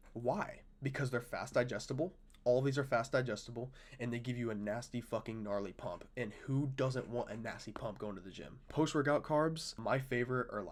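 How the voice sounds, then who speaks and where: The tone is animated, with ordinary pitch variation. The recording is very clean, with a silent background. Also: man, medium pitch for a man. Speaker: fitness content creator. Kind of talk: casual vlog talk to camera. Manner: fast; casual, animated.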